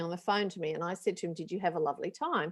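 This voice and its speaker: A woman with an Australian accent speaks with ordinary pitch variation against a quiet background. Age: 60s. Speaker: panel guest speaker. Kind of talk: webinar panel discussion. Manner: conversational with frequent fillers.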